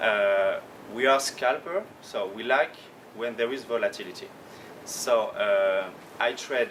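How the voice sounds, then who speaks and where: A man with a French accent speaks at a fairly slow pace, leaving long, frequent pauses. His medium pitch carries ordinary pitch variation over noticeable background noise. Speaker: professional trader. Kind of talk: conference talk. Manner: halting.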